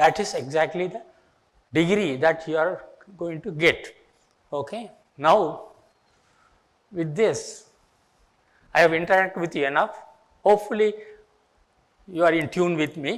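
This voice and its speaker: A man with a Tamil Indian accent speaks at a high pitch and a moderate pace, with ordinary pitch variation and long, frequent pauses. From India, Tamil Nadu. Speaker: retired engineering professor. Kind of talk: lecture.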